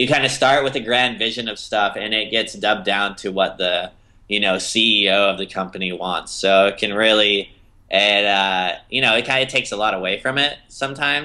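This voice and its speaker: Ordinary pitch variation at a moderate pace. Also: man, fairly low pitch for a man. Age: 20s. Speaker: animation director and designer. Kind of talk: interview. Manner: hesitant, many fillers.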